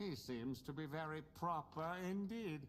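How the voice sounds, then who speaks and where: Clear background noise under a put-on character voice, moderate in pace. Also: man, fairly high pitch for a man. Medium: video game. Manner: dry, sardonic.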